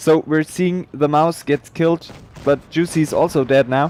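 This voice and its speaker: In a German accent, a man with a fairly high pitch speaks in a monotone, flat intonation. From Germany. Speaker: game streamer and esports caster. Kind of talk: live esports commentary; casual chat with stream viewers. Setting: livestream. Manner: halting.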